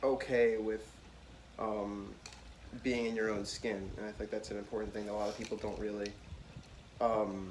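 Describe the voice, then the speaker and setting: Amid noticeable background noise and audible room echo, a man with a fairly low pitch speaks at a moderate pace in a monotone, flat intonation, with long, frequent pauses. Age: 20s. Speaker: college student, podcast guest. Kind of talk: casual chat. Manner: halting, many fillers.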